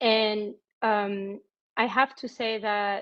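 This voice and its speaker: A woman speaks with a French accent at a fairly high pitch. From France. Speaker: banker. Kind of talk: career information session. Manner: halting.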